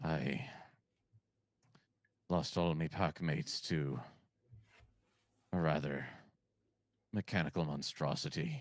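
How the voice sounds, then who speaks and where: Someone uses a put-on character voice at a fairly slow pace, with long, frequent pauses. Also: man, very deep, low pitch for a man. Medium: actual play. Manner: scrappy.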